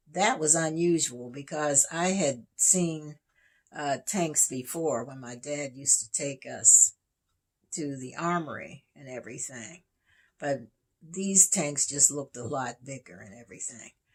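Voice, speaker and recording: A woman speaks at a fairly slow pace in a very deep, low pitch, with ordinary pitch variation and big swings in loudness, on a very clean recording with a silent background. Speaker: YouTuber telling life stories. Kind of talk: storytime reminiscence. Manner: halting.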